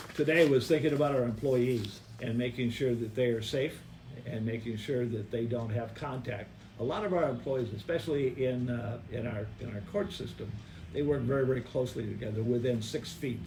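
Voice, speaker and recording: A man speaks at a fairly quick pace in a medium pitch, his dark, mellow tone somewhat breathy, with ordinary pitch variation and audible room echo. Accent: American. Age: 70s. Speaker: city mayor. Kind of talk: press conference Q&A. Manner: halting, many fillers.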